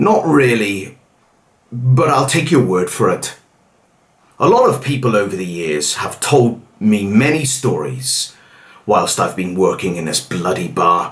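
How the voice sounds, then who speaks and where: Doing a growling, put-on character voice, a man speaks at a fairly slow pace and medium pitch with very wide pitch swings. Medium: read story.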